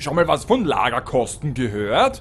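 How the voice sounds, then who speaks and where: A man talks in an animated, playful tone with very wide pitch swings. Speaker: storyteller and driver reading a fairy tale aloud to the crew. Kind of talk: scripted fairy-tale reading with comic voices and amateur acting. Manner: animated storyteller, playful and theatrical.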